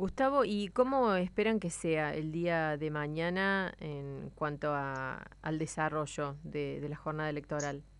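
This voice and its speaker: Speaking in a Rioplatense accent at a fairly slow pace with hardly any pauses, a woman uses a very deep, low pitch and ordinary pitch variation. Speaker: radio host. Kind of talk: casual radio chat. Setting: studio.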